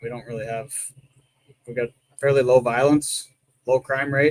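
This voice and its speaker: A man speaks with a slight Canadian accent at a moderate pace and medium pitch. His voice is somewhat breathy, with a dry, close sound and no echo. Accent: Canadian, mild. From Ontario, Canada. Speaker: drag racer. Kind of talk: casual chat.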